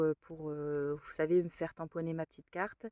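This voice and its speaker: A woman with a fairly low pitch speaks at a fairly slow pace, the sound dry and close with no echo. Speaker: craft vlogger. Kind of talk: casual vlog. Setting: in a car. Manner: hesitant.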